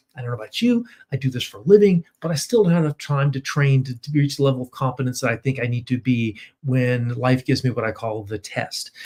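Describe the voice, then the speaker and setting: Somewhat breathy speech comes at a very fast pace with ordinary pitch variation. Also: man, medium pitch for a man. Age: 60s. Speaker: firearms trainer and law enforcement officer. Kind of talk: webinar presentation. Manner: casual, conversational with fillers.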